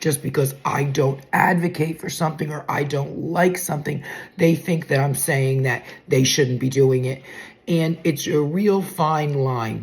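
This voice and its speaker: A woman speaks with a very deep, low pitch and fairly even intonation at a moderate pace. Noticeable background noise runs underneath. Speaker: weight loss content creator. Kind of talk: casual vlog talk. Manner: loud; sarcastic.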